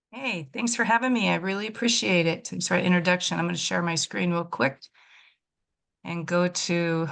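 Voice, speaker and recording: A woman's unremarkable speaking voice at a medium pitch, with ordinary pitch variation and a quiet background. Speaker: regional development official. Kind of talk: webinar presentation.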